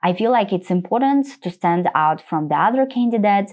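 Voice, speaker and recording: Medium-pitched woman with a non-native accent, very wide pitch swings and a fairly quick pace. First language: not English. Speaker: UX designer and interview coach. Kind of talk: tutorial walking through a portfolio presentation. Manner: slightly halting with small slips.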